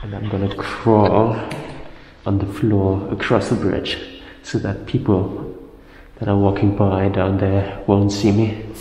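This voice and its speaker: A man talks at a fairly low pitch and fairly slow pace, with monotone, flat intonation and long, frequent pauses. Light background noise and audible room echo are present. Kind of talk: casual vlog commentary. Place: office.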